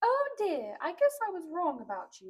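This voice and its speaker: A woman's put-on character voice, squeaky and extremely high-pitched, with a gentle tone, very wide pitch swings, and a moderate pace. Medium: read story. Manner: gentle, grandmotherly.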